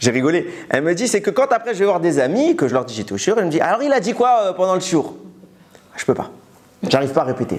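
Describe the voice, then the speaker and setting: Very fast and animated, a man's high-pitched voice leaps through very wide pitch swings and big swings in loudness. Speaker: Torah teacher. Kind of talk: religious lecture.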